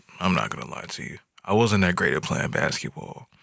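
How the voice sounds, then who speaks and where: In a very clean recording with a silent background, a man with a very deep, low pitch talks at a moderate pace in a relaxed, bright, sharp tone with vocal fry. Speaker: podcast host. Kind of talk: solo monologue about his life. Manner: relaxed conversational.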